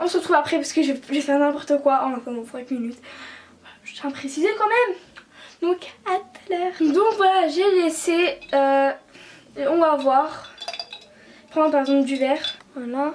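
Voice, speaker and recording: Over noticeable background noise, a woman speaks at a high pitch with ordinary pitch variation, long, frequent pauses and big swings in loudness. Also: moderate pace. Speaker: beauty vlogger. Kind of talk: casual tutorial vlog.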